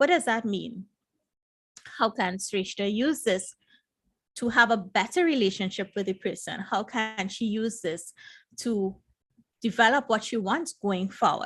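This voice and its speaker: Against a quiet background, a woman with a fairly high voice and ordinary pitch variation talks at a fairly slow pace with long, frequent pauses. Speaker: emotional intelligence coach. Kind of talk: live stream talk. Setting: live stream. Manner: soft-spoken.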